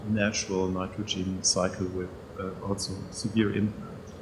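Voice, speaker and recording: A man speaks with a German accent in a somewhat breathy voice, with audible room echo around him. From Germany. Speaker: professor. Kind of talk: lecture. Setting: stage with audience. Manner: halting.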